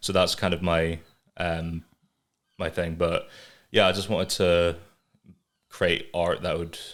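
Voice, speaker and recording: In an English accent, a man speaks with a very deep, low pitch and monotone, flat intonation at a fairly slow pace. Long, frequent pauses break it up in a very clean recording with a silent background. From England, moved to north-east Scotland at age five. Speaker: artist and animator. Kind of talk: casual chat.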